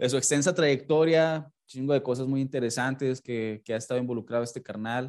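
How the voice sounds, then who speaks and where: In a quiet background, a man with a medium pitch and ordinary pitch variation uses a normal speaking voice. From Mexico. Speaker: podcast host. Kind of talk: casual interview; show intro and outro.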